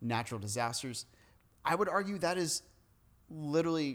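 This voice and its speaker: A plain, everyday voice from a man, fairly quick, with ordinary pitch variation, on a very clean recording with a silent background. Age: 30s. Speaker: podcast host, pastor. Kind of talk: casual chat.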